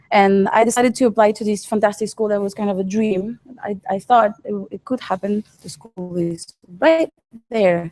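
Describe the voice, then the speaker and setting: A woman's dark, mellow voice at medium pitch, moderate in pace, with ordinary pitch variation and a dry, close sound with no echo. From France and Peru. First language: French or Spanish. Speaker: artist. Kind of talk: artist talk. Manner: halting.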